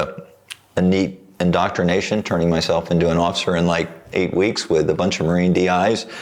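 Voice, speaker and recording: A man with a very deep, low pitch speaks at a fairly quick pace. Noticeable background noise runs underneath. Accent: American. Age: 70s. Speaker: painter and former navy pilot. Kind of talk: casual interview chat.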